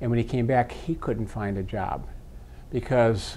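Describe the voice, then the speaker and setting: This man has a dark, mellow tone and talks with an American accent. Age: 60s. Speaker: retired air force officer, veterans commission president. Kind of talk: interview. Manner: halting, many fillers and repeats.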